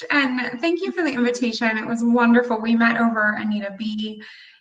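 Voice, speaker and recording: The speaker has an American accent and a bright, sharp tone. Audible room echo surrounds the voice. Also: woman. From United States. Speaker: motivational speaker. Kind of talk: workshop talk. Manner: animated.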